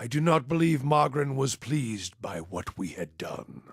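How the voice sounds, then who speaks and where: A man puts on a character voice. It is raspy, at a medium pitch. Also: moderate pace. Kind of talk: fantasy game companion monologue. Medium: video game. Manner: grave, measured, brooding.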